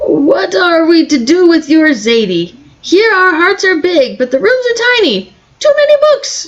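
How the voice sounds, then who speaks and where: Doing a squeaky put-on character voice, a woman speaks at an extremely high pitch with very wide pitch swings, very even loudness and a moderate pace. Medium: read story.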